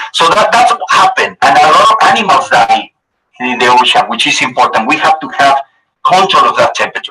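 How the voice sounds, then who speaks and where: A man speaks with a Spanish accent. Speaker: TV weather anchor. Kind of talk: presentation to school students. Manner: halting.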